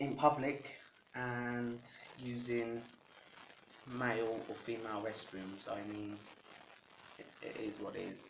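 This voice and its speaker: A man at medium pitch, monotone and flat, at a fairly slow pace, with audible room echo and noticeable background noise. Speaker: video blogger. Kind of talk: casual vlog answering tag questions. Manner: casual, halting with filler words.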